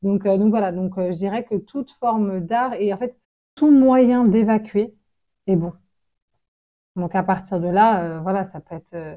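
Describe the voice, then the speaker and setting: A woman's medium-pitched voice at a very slow pace, with ordinary pitch variation, big swings in loudness, and long, frequent pauses. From France, Congolese family. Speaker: association director and victimologist. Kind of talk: interview. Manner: hesitant, many fillers.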